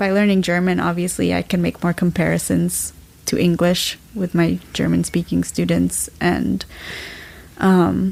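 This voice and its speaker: With a General American accent, a woman speaks at a very slow pace. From US, Washington DC area. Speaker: graduate student. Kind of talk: casual chat.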